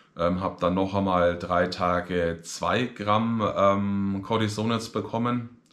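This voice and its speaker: A man talks very slowly in a fairly low pitch. His loudness stays very even and his intonation fairly even over a quiet background. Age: 30s. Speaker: vlogger. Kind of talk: personal video diary. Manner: hesitant, many filler sounds.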